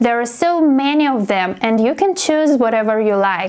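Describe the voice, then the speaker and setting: Speaking at a fairly slow pace, a woman has a high pitch and a Russian accent. Her intonation is lively. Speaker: English teacher. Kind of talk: casual talk to camera.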